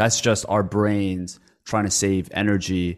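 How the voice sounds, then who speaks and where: With a Canadian accent and an unremarkable speaking voice, a man talks at a fairly low pitch with fairly even intonation against a quiet background. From Canada (moved from Korea as a child). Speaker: podcast host. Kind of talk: interview. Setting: remote call.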